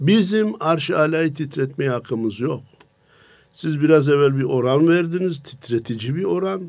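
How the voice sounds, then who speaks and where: A man with a fairly high pitch and an ordinary speaking voice, speaking at a fairly slow pace with lively intonation. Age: 60s. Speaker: preacher. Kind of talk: religious radio talk.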